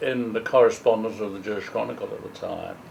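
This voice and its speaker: At a moderate pace, a man speaks with a London accent. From East End of London, England. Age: 80s+. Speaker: poet. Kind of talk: interview. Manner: halting.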